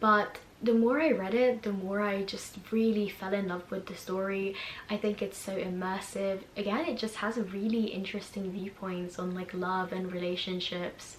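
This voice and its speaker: There is noticeable background noise and audible room echo. A woman speaks at a moderate pace with fairly even intonation. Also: medium pitch for a woman. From Hungary, then England from age 10. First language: Hungarian. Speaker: YouTuber. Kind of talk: casual vlog recommendations.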